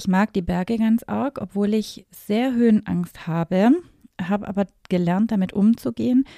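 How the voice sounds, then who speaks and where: Recorded dry and close with no echo, a woman speaks in an ordinary speaking voice with ordinary pitch variation. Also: medium pitch for a woman, moderate pace. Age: 40s. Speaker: wedding and event planner. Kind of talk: podcast monologue.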